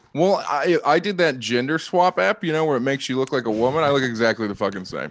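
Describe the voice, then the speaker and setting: A very fast-talking man with a Midwestern accent, fairly high pitch and lively intonation. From Ohio. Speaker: comedian. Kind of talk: casual chat.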